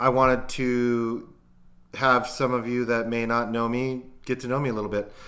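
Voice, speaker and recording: Audible room echo surrounds a man whose bright, sharp voice sits at a medium pitch. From US West Coast, Long Beach, California. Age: 40s. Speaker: podcaster and former cook. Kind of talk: casual vlog monologue. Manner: halting, many fillers.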